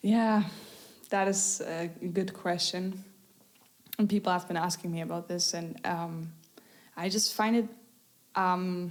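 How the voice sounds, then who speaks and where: A woman with a German accent, medium pitch, monotone, flat intonation, a fairly slow pace and long, frequent pauses. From Germany, Munich area. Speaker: singer-songwriter. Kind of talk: interview. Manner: halting.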